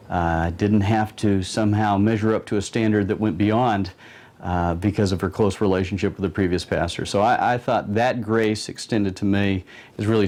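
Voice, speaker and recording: Delivered at a moderate pace, a plain, everyday voice keeps fairly even intonation. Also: man, very even loudness. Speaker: pastor. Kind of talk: interview answer.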